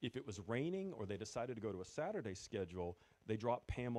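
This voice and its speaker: In a New England accent, a man speaks at a fairly quick pace. His tone is dark and mellow. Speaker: former retail store manager, event speaker. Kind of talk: presentation to audience.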